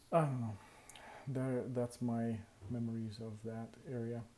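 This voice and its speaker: Moving at a very slow pace, the man's voice carries a dark, mellow tone. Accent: non-native. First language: not English. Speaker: vlogger. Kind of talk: casual vlog monologue. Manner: halting, many fillers.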